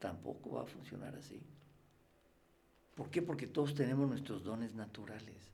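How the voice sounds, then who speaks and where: Vocal fry and a dark, mellow tone come at a moderate pace with ordinary pitch variation and big swings in loudness. Long, frequent pauses sit in audible room echo. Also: man, medium pitch for a man. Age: 60s. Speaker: freemason guest. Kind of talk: interview conversation.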